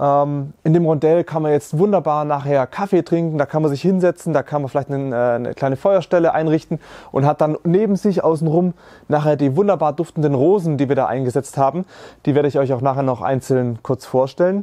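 Over a quiet background, a man speaks at a fairly quick pace in a dark, mellow tone with ordinary pitch variation. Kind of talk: explanatory walkthrough. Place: garden.

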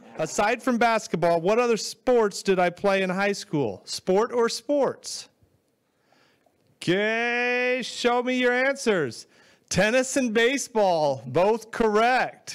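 This man's voice sits high in pitch and moves at a very slow pace. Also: ordinary pitch variation. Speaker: quiz host. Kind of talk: game show hosting. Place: studio. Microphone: handheld.

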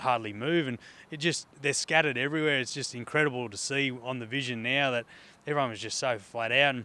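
Talking at a very fast pace, a man delivers his words in a bright, sharp tone with fairly even intonation and a dry sound with no echo. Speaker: interviewee. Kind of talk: interview answer. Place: stadium. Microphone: handheld.

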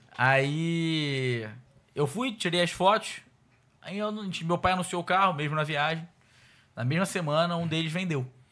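Here a man talks at a fairly slow pace, leaving long, frequent pauses. His voice is high in pitch with ordinary pitch variation and a bright, sharp tone. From Rio de Janeiro. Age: 20s. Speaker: car salesman. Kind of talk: casual interview. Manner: animated. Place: studio. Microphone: studio mic.

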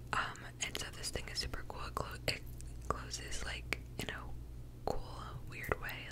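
A soft-spoken woman whispers at a fairly slow pace. Loud background noise fills the recording. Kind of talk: soft-spoken ASMR-style product review. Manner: soft close-mic whisper. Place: home room. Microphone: studio mic.

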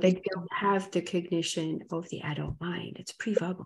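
A woman is speaking. Her voice has vocal fry. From Africa. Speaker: hypnotherapist and animal communicator; interview guest. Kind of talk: interview. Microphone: video call.

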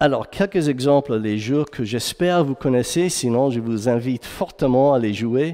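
Over a quiet background, a man with an English accent talks at a fairly slow pace, his medium-pitched voice dark and mellow in tone with ordinary pitch variation. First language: English (speaking French). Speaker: game narrative director. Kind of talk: conference talk; conference lecture. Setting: stage with audience. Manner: halting, many fillers and repeats; energetic. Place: hall.

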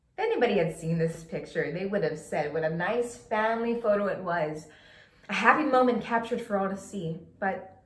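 A woman speaks at a fairly quick pace. Audible room echo follows her voice. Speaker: actor. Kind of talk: acting monologue. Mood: bitter, angry, emotional. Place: home room. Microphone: camera far.

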